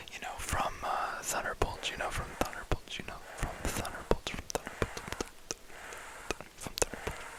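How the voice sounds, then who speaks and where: Someone is whispering in a relaxed tone. Noticeable background noise can be heard. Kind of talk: ASMR ramble, casual talk to camera about movies. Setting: close microphone with mic brushing and tapping sounds. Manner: relaxed, soft-spoken.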